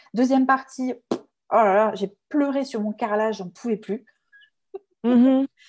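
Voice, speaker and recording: At a fairly slow pace with long, frequent pauses, a woman speaks with fairly even intonation. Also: fairly high pitch for a woman. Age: 30s. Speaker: communication consultant and trainer. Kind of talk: testimony.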